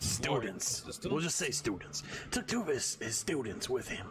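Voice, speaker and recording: Putting on a gruff character voice, a man speaks at a moderate pace against clear background noise. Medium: actual play. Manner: gruff, grimy.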